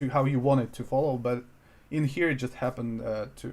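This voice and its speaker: In a Russian accent, a man speaks at medium pitch with fairly even intonation on a very clean recording with a silent background. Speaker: music producer streaming. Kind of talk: live stream tutorial. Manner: hesitant, searching for words.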